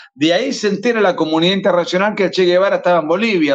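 This man has a high pitch and an Argentine accent. His intonation is lively. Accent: Argentine Spanish (voseo). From Argentina. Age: 40s. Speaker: author and lawyer. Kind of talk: interview.

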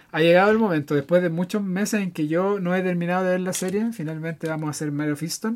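A man's high-pitched, very fast delivery with a Chilean accent, fairly even intonation and hardly any pauses. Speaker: film podcast co-host. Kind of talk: casual chat.

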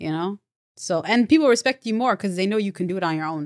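On a very clean recording with a silent background, a woman with an unremarkable speaking voice talks at medium pitch and a fairly quick pace with ordinary pitch variation. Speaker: stand-up comedian.

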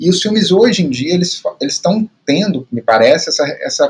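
The voice belongs to a man. He speaks with a Minas Gerais accent. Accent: Brazilian Portuguese, Minas Gerais. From Brazil, Belo Horizonte. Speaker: podcast co-host. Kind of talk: casual film discussion. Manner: halting, many repetitions.

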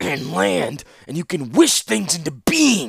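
Using a put-on character voice, a man speaks at a fairly slow pace in a wheezy, fairly high pitch. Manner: bellowing, snarling, contemptuous.

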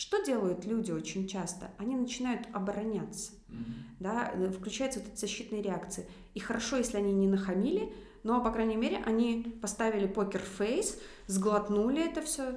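A woman speaks at a moderate pace with a fairly high pitch. Noticeable background noise and audible room echo fill the recording. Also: ordinary pitch variation. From Belarus, Minsk. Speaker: business owner, former dentist. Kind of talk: casual interview.

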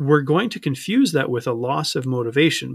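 An unremarkable speaking voice comes through in a very clean recording, dry and close with no echo and a silent background. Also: man. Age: 30s. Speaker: life coach. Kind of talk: interview.

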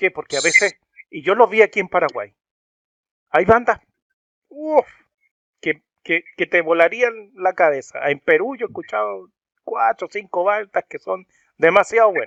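At a moderate pace, a man talks with big swings in loudness and long, frequent pauses, in a dry, close sound with no echo. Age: 40s. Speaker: rock music video channel host. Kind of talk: interview. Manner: halting.

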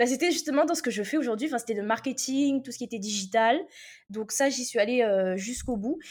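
A woman with a high pitch talks at a fairly quick pace, with ordinary pitch variation. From Réunion. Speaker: copywriting mentor. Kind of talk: interview. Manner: lively; halting.

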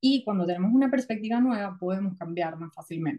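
A woman is speaking at a medium pitch. There is a somewhat breathy quality to her voice. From Venezuela. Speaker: psychotherapist. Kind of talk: casual interview.

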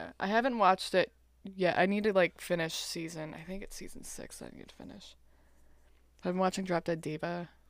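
A woman with a plain, everyday voice speaks at a fairly quick pace and a medium pitch, her intonation fairly even. Her loudness swings a lot, on a very clean recording with a silent background. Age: 20s. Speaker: podcast guest, host's lifelong friend. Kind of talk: casual chat.

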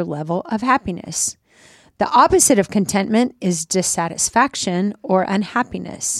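In a very clean recording with a silent background and a dry, close sound with no echo, a woman with an unremarkable speaking voice uses lively intonation at a moderate pace. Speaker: podcast co-host. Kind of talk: casual chat. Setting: studio.

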